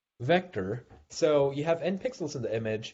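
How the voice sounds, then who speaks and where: Here a man talks at a moderate pace. His voice is somewhat breathy. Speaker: invited research speaker. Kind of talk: technical seminar lecture. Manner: hesitant, many fillers.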